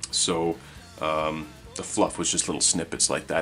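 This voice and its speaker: A man speaks with faint music in the background. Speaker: tabletop game book reviewer. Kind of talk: commentary. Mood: relaxed, nostalgic.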